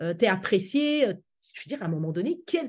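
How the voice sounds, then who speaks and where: The woman's tone is dark and mellow, at a moderate pace. Her pitch swings very widely. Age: 40s. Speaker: public speaking coach. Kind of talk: interview.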